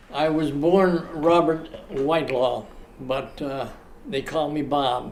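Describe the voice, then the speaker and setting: A man's fairly high voice at a very slow pace, with fairly even intonation, audible room echo and noticeable background noise. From Australia (Sydney). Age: 80s+. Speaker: retiree telling his life story. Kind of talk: interview storytelling. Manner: halting, many fillers.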